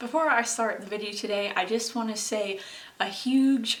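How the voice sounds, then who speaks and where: A woman talks at a fairly slow pace with ordinary pitch variation, amid audible room echo and noticeable background noise. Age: 20s. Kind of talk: casual vlog monologue. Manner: hesitant, many fillers.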